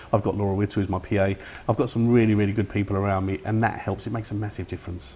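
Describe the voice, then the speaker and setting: This man talks very fast in a fairly low voice with an East London accent. His intonation stays monotone and flat. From East London (Bethnal Green). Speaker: film production director. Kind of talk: interview.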